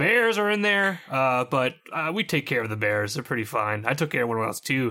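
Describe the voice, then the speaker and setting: A raspy, put-on character voice delivers its lines at a moderate pace. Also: man. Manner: casual, cheerful, rambling.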